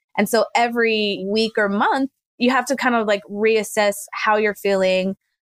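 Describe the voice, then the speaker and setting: Recorded very cleanly with a silent background and a dry, close sound with no echo, a woman with a plain, everyday voice and an American accent speaks at a moderate pace, fairly high in pitch with fairly even intonation. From Army brat, mostly southern Arizona. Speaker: emergency physician. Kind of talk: interview conversation.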